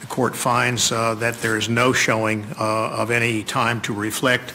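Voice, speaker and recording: Over noticeable background noise, a man speaks at a medium pitch in a flat, monotone way. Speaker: judge. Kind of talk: courtroom ruling. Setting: courtroom.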